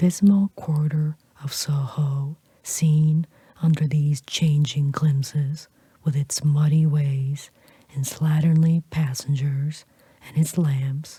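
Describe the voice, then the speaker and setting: Whispering, soft-spoken delivery at a very slow pace. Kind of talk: audiobook reading of a classic novel. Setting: close-mic studio recording. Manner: soft-spoken, whispered.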